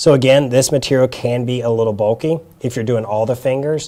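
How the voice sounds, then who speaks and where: A man speaks with a Southern US accent in a dark, mellow tone. His intonation stays fairly even. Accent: Southern US (Georgia). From South Georgia, US South. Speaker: hand therapist. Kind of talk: workshop demonstration. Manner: casual, hesitant with fillers.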